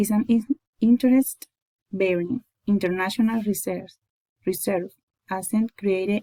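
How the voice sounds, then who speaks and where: Somewhat breathy and dark, mellow in tone, a woman speaks at a moderate pace with a medium pitch and fairly even intonation in a dry, close sound with no echo. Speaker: student presenter. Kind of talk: class presentation. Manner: halting, with self-corrections.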